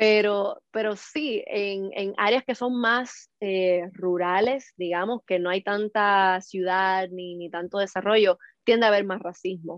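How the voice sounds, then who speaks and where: At a very slow pace, a woman speaks at a medium pitch with hardly any pauses. Her intonation stays fairly even. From Latin America. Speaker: actress. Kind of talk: casual chat.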